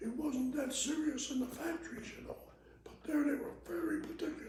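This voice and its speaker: A man talks at an extremely high pitch and a fairly quick pace. His intonation is lively, and his loudness swings a lot. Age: 80s+. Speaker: retired sheet metal mechanic. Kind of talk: oral history interview answer.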